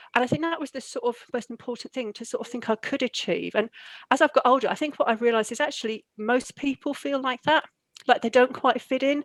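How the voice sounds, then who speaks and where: A woman with an English accent talks at a high pitch. Her intonation stays fairly even. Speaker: university leader. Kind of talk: interview. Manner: halting.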